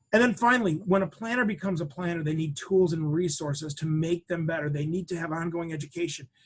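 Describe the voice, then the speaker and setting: A man at a high pitch, talking at a very fast pace. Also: ordinary pitch variation. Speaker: financial planning educator. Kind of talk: webinar product demo presentation.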